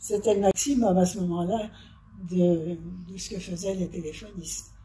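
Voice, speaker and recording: A woman at medium pitch speaks at a fairly slow pace with fairly even intonation. Her loudness swings widely over noticeable background noise. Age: 80s+. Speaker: retired telephone operator. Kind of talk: interview, personal recollection. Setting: nursing home workshop. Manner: halting.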